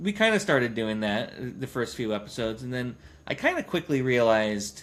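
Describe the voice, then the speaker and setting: Here a man with a medium pitch talks at a fairly quick pace in an unremarkable speaking voice. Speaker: podcast host. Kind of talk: casual chat.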